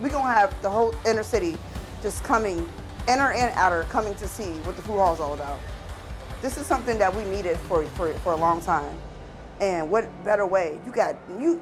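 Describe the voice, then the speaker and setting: A woman with an American accent speaks at a fairly quick pace and a medium pitch with lively intonation while music plays in the background. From Erie, Pennsylvania. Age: 30s. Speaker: cook and food vendor. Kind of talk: interview answer.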